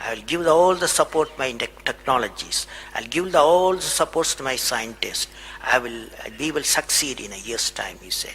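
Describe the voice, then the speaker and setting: Amid noticeable background noise, a man with a Tamil Indian accent speaks at a moderate pace and a fairly high pitch, with ordinary pitch variation and big swings in loudness. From Tamil Nadu, India. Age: 70s. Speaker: aerospace scientist and former president. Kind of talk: motivational speech to an audience.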